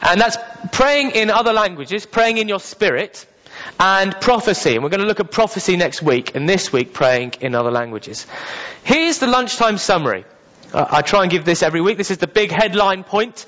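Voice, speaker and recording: A man with a British accent, high in pitch, with very wide pitch swings at a fairly quick pace amid noticeable background noise. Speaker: preacher. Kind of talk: sermon. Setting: church.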